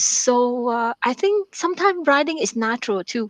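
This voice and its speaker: Recorded with a dry, close sound and no echo, a woman speaks at a high pitch with a Vietnamese accent. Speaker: author and math professor. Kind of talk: radio interview. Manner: halting, many fillers and repetitions.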